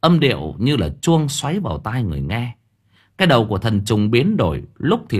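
Against a quiet background, the text is read aloud plainly.

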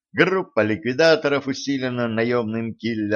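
The delivery is a natural reading voice. Pitch varies in an ordinary way.

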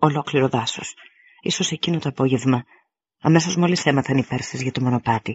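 Reading aloud in a natural voice, with ordinary pitch variation over a quiet background.

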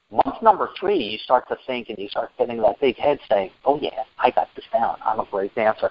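A man speaks at a moderate pace with big swings in loudness and hardly any pauses. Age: 50s. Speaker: IT project manager and dance instructor. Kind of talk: presentation. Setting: conference call.

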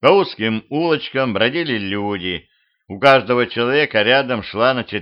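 The background stays quiet. The reading voice is unforced, with lively intonation.

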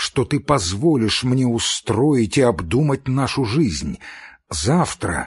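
An unforced voice does the reading here.

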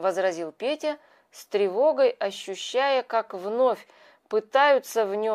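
Someone is reading aloud in a natural voice, the intonation lively throughout.

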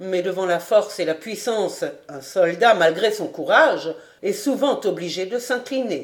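This is reading aloud in a natural voice, with lively intonation.

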